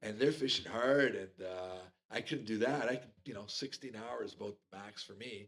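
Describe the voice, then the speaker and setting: A man's voice, an ordinary speaking voice, pitched medium, ordinary in its pitch variation, moderate in pace. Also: big swings in loudness. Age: 60s. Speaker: fly fisherman. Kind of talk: casual chat.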